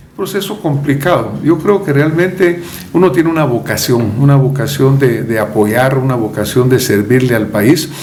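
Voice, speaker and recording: Lively in intonation, a man with a fairly high pitch speaks at a moderate pace. Audible room echo and noticeable background noise fill the recording. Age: 70s. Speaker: presidential candidate. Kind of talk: interview.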